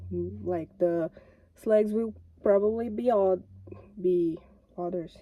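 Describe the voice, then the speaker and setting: A woman's dark, mellow voice with a non-native accent, very slow in pace yet with lively intonation. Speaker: YouTuber. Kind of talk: casual vlog commentary. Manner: halting, self-correcting.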